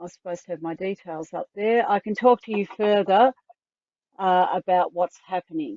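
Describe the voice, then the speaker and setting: A woman speaks at a medium pitch in an Australian accent. Her loudness swings widely. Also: ordinary pitch variation, moderate pace. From Tasmania, Australia. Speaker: online community coordinator. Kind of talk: online information session.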